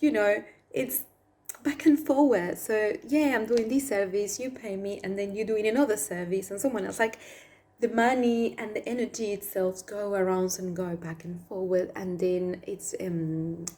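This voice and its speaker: A woman with a Spanish accent speaks at a moderate pace in a medium pitch with ordinary pitch variation. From Argentina. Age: 30s. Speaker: past life therapist. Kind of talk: spiritual talk to camera.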